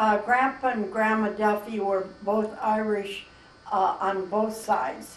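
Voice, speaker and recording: Very slowly and at very even loudness, a woman with an American accent and a fairly high pitch speaks with fairly even intonation over noticeable background noise. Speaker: grandmother, mother of eight. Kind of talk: interview answer. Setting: camera microphone, home recording.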